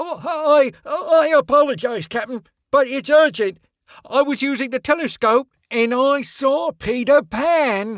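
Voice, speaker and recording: A man puts on a character voice with an extremely high pitch. He speaks at a fairly slow pace. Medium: read story. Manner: stammering, hesitant.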